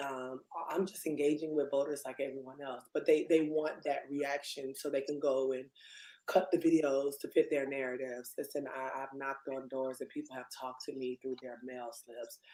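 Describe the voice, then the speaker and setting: A loud woman's very deep, low voice, dark and mellow, monotone and flat, at a moderate pace. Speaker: elected city commissioner. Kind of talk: panel discussion. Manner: passionate.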